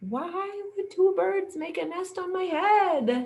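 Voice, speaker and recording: A squeaky put-on character voice speaks at a fairly slow pace. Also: woman, extremely high pitch for a woman. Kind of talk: bedtime story. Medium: read story. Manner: anxious, excitable.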